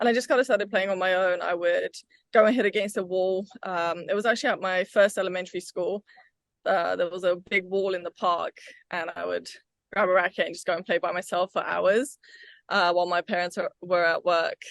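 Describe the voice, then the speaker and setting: Fairly quick speech in a British accent, with fairly even intonation. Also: woman, medium pitch for a woman. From England (London, Wimbledon), Bulgarian family. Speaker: pickleball player and tennis coach. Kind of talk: interview.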